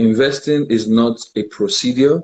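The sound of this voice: A man's slightly mellow tone with a slightly husky edge at a slow pace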